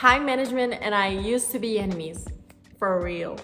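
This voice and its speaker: A woman with a non-native accent talks at a moderate pace in an animated tone, with a fairly high pitch and ordinary pitch variation. Room echo is audible. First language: not English. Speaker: YouTuber giving study tips. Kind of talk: casual vlog talk.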